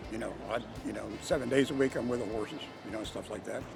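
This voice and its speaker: Over music in the background, a man with medium pitch and fairly even intonation speaks at a very fast pace. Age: 80s+. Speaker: harness racing driver. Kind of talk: interview. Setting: racetrack. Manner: halting.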